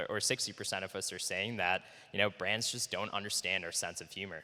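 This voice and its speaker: With an American accent, a man speaks at a fairly low pitch in a bright, sharp tone, his pitch varying in an ordinary way. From United States. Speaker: startup co-founder and CEO. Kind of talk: conference presentation. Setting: conference talk. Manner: many fillers (uh, um).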